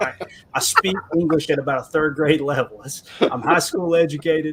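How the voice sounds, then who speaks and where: With noticeable background noise, a man speaks at a moderate pace in an American accent, his fairly high voice held to a fairly even intonation. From US South, southeastern Kentucky (Harlan County). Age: 40s. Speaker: sports podcaster, guest. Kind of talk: casual chat. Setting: live-streamed podcast.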